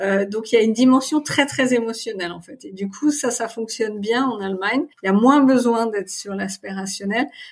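A woman's fairly high pitch, with ordinary pitch variation, comes at a fairly quick pace. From Paris region, France. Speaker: marketing manager. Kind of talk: interview. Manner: hesitant, many fillers.

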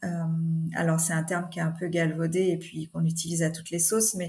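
Music plays in the background. A woman speaks with a fairly low pitch. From Normandy, France. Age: 40s. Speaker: mayor. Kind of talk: interview. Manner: hesitant, many fillers.

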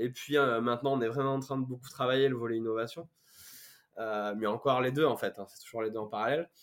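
A man's intonation stays fairly even as he speaks very fast. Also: medium pitch for a man, big swings in loudness. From France, Corrèze (Brive-la-Gaillarde). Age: 30s. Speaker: startup founder. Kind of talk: casual interview.

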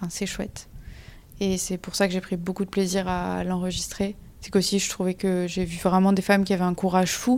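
A woman talks at a fairly quick pace in a medium-pitched voice with monotone, flat intonation, captured in a very clean recording with a silent background. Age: 20s. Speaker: engineering student. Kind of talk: interview. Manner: hesitant, many fillers.

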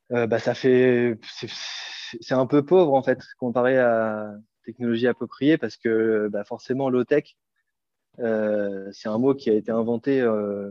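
A man with a medium-pitched voice speaks at a very slow pace, leaving long, frequent pauses. His intonation stays fairly even. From Normandy, France. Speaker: solar craft entrepreneur. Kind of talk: interview. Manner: halting, many hesitations.

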